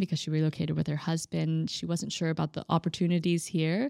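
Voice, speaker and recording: A woman with a Texan accent and a fairly low pitch speaks at a fairly quick pace in a dark, mellow tone, the sound dry and close with no echo on a very clean recording with a silent background. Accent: American, Texan. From Texas (Austin). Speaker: entrepreneur. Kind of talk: casual interview.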